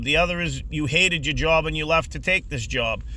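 Fairly quick speech from a man, noticeable background noise underneath. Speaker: food delivery driver and YouTuber. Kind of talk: casual vlog monologue. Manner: halting, many repeated words and fillers.

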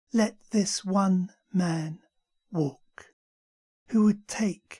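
A woman with a somewhat breathy, dark, mellow voice speaks in a dramatic tone with ordinary pitch variation. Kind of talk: poetry reading, spoken word. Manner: slow, measured, dramatic.

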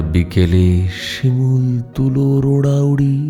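Music plays in the background as a man speaks at a fairly high pitch. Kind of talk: poetry reading. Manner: restrained, moving.

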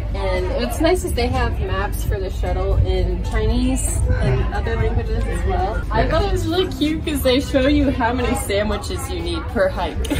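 A woman speaks at a moderate pace with hardly any pauses. Music plays clearly in the background. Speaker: travel vlogger. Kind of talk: casual vlog chat. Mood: cheerful, laughing. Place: open country. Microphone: phone near.

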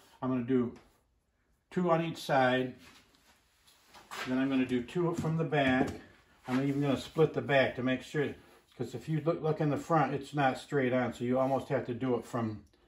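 A man's speech with long, frequent pauses, audible room echo and light background noise. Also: fairly even intonation, moderate pace. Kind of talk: casual tutorial. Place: workshop.

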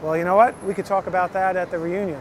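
Noticeable background noise sits under a man's voice. He speaks at a high pitch with ordinary pitch variation. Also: dry sound with no echo. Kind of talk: casual direct-to-camera video invitation. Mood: eager, slightly nervous. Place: street. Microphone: phone near.

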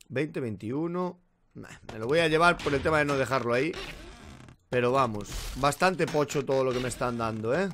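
With light background noise, a man speaks with ordinary pitch variation and long, frequent pauses. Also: moderate pace. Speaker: gaming youtuber. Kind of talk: let's play commentary. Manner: casual, filler-heavy. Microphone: current mic, new Blue Yeti coming.

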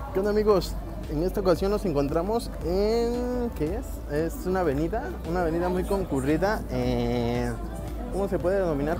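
Clear music plays in the background behind a dry voice with no echo at a moderate pace. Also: man. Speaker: travel vlogger. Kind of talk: casual vlog chat. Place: street. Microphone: earbuds.

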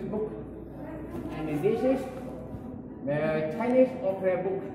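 A man speaks over noticeable background noise. His voice carries an audible room echo. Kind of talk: promotional talk. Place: hall. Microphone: camera far.

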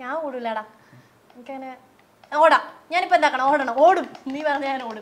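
A woman speaks with a high-pitched voice. Her loudness swings widely. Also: ordinary pitch variation. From Kerala, Kasaragod; Kerala, India. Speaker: vlogger. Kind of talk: casual chat. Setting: at home. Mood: proud, cheerful. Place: home room. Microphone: lapel.

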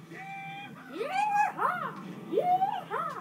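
An extremely high, squeaky put-on character voice over light background noise. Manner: exaggerated, cheesy.

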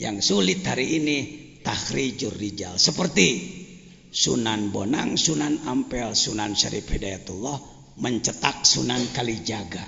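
Very wide pitch swings mark a man's medium-pitched voice at a very slow pace. Noticeable background noise and audible room echo are present. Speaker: Islamic cleric, boarding school head. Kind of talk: religious lecture. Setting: religious gathering with audience.

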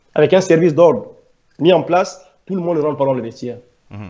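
A man speaks against a quiet background. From Gabon. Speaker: former footballer and activist; interview guest. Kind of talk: interview. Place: home room. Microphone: video call.

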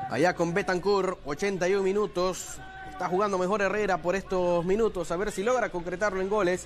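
Against noticeable background noise, a man speaks in a high pitch. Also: fairly even intonation, moderate pace. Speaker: football commentator. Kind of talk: live football commentary.

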